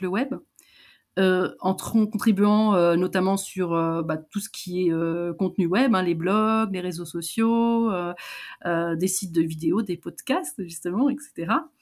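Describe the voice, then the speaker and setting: A woman's medium-pitched voice moves along at a very slow pace. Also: very clean recording, silent background. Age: 50s. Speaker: digital accessibility consultant. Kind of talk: interview. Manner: halting.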